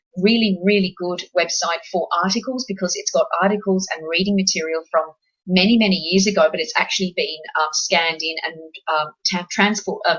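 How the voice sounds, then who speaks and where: The delivery moves at a fairly quick pace. It is spoken in an Australian accent. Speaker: paranormal investigator presenting a webinar. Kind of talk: webinar presentation.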